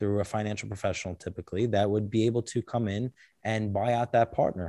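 A man with an American accent and an unremarkable speaking voice talks at a fairly quick pace in a fairly low pitch, on a very clean recording with a silent background and a dry, close sound with no echo. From Brooklyn, New York (Bensonhurst). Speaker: attorney. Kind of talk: casual interview. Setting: studio.

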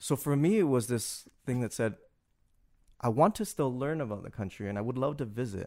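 Speaking in a Canadian accent, the voice is a plain, everyday voice with lively intonation at a fairly quick pace. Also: man, medium pitch for a man, very clean recording, silent background. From Canada, Toronto. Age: 30s. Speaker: business school administrator. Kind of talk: interview.

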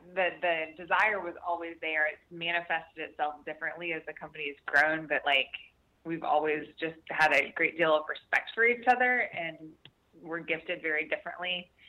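An ordinary speaking voice from a woman, fairly low in pitch, with ordinary pitch variation and a moderate pace. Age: 40s. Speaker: author and business co-founder. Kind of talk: interview.

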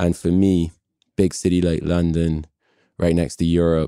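A man speaks at a moderate pace in a very deep, low voice with a dark, mellow tone. The sound is dry and close with no echo, on a very clean recording with a silent background. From Barbados. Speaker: startup CEO. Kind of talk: casual interview.

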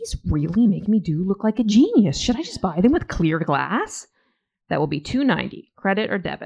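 A woman speaks at a medium pitch in a normal speaking voice. Her pace is moderate. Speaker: graphic memoirist. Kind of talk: reading aloud. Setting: stage with audience.

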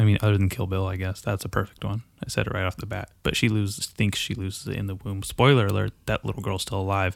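A man speaks very fast in a fairly low, monotone, flat voice with hardly any pauses. The recording is very clean, with a silent background. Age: 20s. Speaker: podcast host. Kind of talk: casual chat. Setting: studio.

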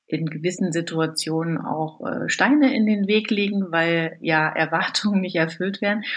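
Against a quiet background, a woman speaks fairly slowly at a fairly low pitch with ordinary pitch variation. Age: 40s. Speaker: works council member, former scrum master. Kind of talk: interview. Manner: hesitant, many filler sounds.

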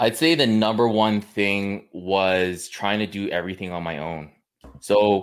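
Using a Western Canadian accent, a man with a fairly low pitch speaks at a moderate pace with ordinary pitch variation, captured on a very clean recording with a silent background. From Canada, British Columbia (Kamloops). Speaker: online fitness coach. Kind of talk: casual interview chat.

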